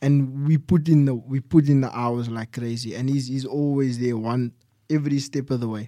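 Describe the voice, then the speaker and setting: At a moderate pace, a man with a medium pitch and a dark, mellow tone speaks with fairly even intonation. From South Africa, Cape Town. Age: 20s. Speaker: mixed martial arts fighter. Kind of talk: casual interview.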